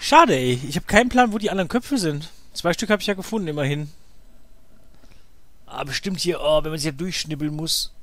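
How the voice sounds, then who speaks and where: A man's high-pitched voice with lively intonation, a fairly quick pace, and long, frequent pauses. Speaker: let's play gamer. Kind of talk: casual gameplay commentary.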